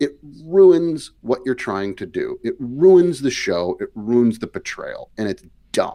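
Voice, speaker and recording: A man is speaking. He talks with a Wisconsin accent. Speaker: podcast co-host. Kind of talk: heated discussion. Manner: animated.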